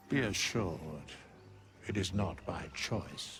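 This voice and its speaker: Putting on a character voice, a man speaks with a very deep, low pitch. His pace is fairly slow, and clear background noise can be heard. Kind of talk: archaic formal speech. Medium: video game. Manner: slow, cold.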